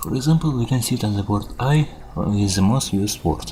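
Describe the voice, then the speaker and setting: With music in the background, the speaker talks at a fairly quick pace in a non-native accent. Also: man. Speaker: programmer. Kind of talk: casual video narration.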